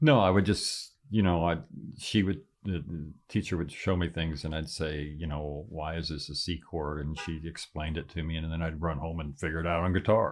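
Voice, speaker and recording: On a very clean recording with a silent background, a man speaks at a moderate pace in a very deep, low voice with fairly even intonation. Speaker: father of the host, musician. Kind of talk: casual interview chat. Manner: soft-spoken, relaxed.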